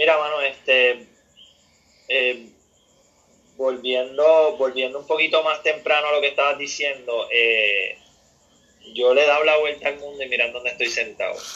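Speaking with a Puerto Rican accent, a man uses a fairly high pitch and fairly even intonation. He keeps a moderate pace with long, frequent pauses. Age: 40s. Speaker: professional surfer. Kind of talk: interview.

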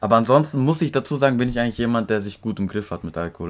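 A man speaks very fast at a fairly low pitch. His intonation is lively. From Turkey. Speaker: podcast co-host. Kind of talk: casual chat.

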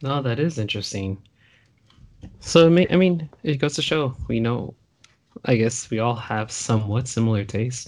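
Speaking at a moderate pace, a man uses a medium pitch with ordinary pitch variation. He leaves long, frequent pauses. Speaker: podcast host. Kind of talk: casual chat. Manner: animated, joking.

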